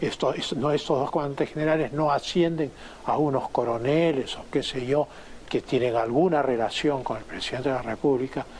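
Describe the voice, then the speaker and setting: An unremarkable speaking voice from a man, fairly high in pitch, fairly quick in pace, with fairly even intonation. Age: 60s. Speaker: former foreign minister, political commentator. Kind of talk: interview.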